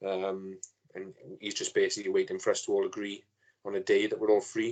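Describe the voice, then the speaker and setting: A man with a Welsh accent speaks at a fairly quick pace. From Wales. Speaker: fan page owner, podcast guest. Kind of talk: casual chat.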